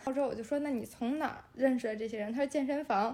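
A woman speaks with a strong Beijing accent in a high pitch. She goes at a very fast pace against noticeable background noise. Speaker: beauty influencer. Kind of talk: casual interview chat. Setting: home basement living room, on a sofa.

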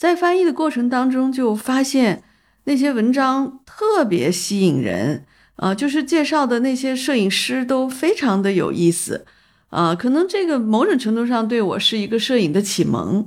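Her voice is high for a woman, and its pitch swings very widely. A woman speaks with very even loudness. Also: moderate pace. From northern China, Taiyuan, Shanxi. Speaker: photography festival founder and art director. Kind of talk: casual interview. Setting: in person over tea. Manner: halting, many filler sounds.

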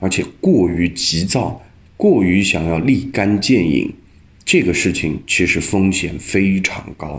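A man is talking. His pace is fairly slow. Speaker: angel investor. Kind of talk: debate-style commentary.

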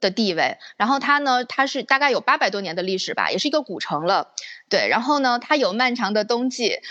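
In a bright, sharp tone, a woman talks at a fairly quick pace with a high pitch and lively intonation. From Northeast China, Panjin. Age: 30s. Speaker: former expat recounting life abroad. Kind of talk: casual chat.

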